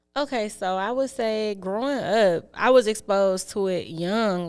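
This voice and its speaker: In a very clean recording with a silent background, a woman with a medium pitch and ordinary pitch variation talks at a fairly slow pace with hardly any pauses. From Detroit, West Seven Mile. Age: 20s. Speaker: rapper. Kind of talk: interview.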